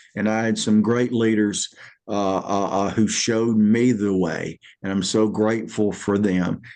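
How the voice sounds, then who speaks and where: A man's fairly low, monotone voice with flat intonation, at a fairly slow pace. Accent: Alabama. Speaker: military veteran, comedian and leadership speaker. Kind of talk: interview. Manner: repetitive, halting with many repeated words.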